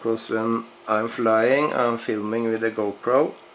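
With noticeable background noise behind him, a man of medium pitch talks at a very slow pace with fairly even intonation. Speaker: RC hobbyist reviewer. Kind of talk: product review. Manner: halting, many fillers.

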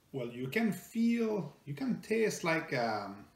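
A man talks slowly with a French Canadian accent and some vocal fry. His voice carries a strong room echo.

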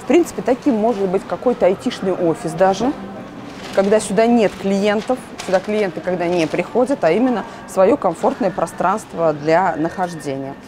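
With lively intonation and a medium pitch, a woman talks at a moderate pace against noticeable background noise. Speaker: interior furniture vlogger. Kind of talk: casual video store walkthrough review; casual vlog chat. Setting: furniture store showroom. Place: shop. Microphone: lapel.

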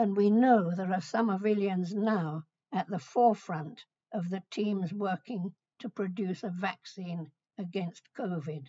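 Speaking with a British accent against a quiet background, a woman uses a medium pitch, a somewhat breathy voice and ordinary pitch variation at a fairly slow pace. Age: 80s+. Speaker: retired adult education pioneer. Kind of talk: recorded message to students. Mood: warm, gently humorous. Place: home room. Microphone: webcam.

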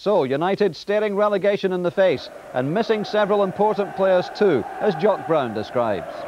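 A man with a high pitch speaks at a moderate pace with hardly any pauses, very even loudness and ordinary pitch variation against noticeable background noise. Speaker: sports presenter. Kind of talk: studio presenting.

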